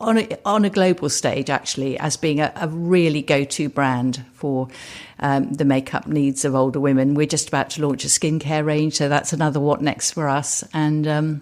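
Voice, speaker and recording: On a very clean recording with a silent background, a woman with a southern English accent speaks at a very deep, low pitch, with very even loudness, ordinary pitch variation and a moderate pace. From England, Suffolk. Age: 60s. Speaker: entrepreneur. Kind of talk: interview. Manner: hesitant, with fillers.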